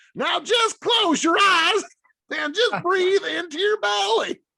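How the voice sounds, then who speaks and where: This is a put-on character voice at an extremely high pitch, delivered with a Southern US accent as part of the act. The pace is fairly slow. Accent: American Southern. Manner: calm, soothing.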